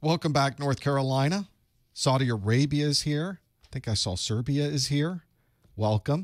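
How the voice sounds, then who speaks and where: A man's fairly high voice at a moderate pace with ordinary pitch variation, dry with no echo against a quiet background. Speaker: IT certification instructor. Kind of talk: live-streamed study group. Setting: home studio live stream. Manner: animated. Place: studio.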